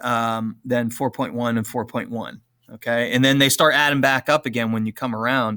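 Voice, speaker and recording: A man's bright, sharp voice at a moderate pace, on a very clean recording with a silent background. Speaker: teacher. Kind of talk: tutorial.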